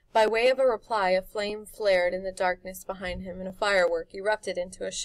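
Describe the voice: With ordinary pitch variation, this recording is plain reading aloud.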